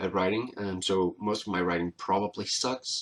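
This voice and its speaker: In a non-native accent, a man with a fairly low pitch speaks at a fairly slow pace with ordinary pitch variation. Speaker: vlogger. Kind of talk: casual talk to camera. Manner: hesitant, many filler words.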